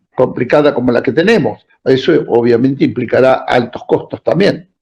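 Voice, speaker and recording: A man is talking, and his intonation is lively. The tone of his voice is dark and mellow. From Argentina. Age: 70s. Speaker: political activist. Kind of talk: interview.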